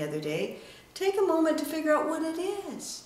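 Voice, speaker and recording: A woman's high voice at a fairly quick pace, with very wide pitch swings and noticeable background noise. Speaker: international speaker, author and storyteller; communication coach. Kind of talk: business advice talk to camera. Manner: energetic, enthusiastic.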